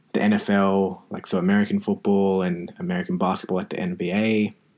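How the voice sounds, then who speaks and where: A fairly low-pitched man with an Australian accent, monotone and flat, at a moderate pace, on a very clean recording with a silent background. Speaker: podcast host, physiotherapist. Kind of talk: casual solo podcast monologue.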